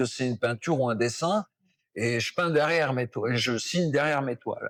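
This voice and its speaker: In an ordinary speaking voice, a man talks at a fairly quick pace with ordinary pitch variation, the sound dry and close with no echo. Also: medium pitch for a man. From Brittany, France. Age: 60s. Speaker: poet and singer-songwriter. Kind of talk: interview answer.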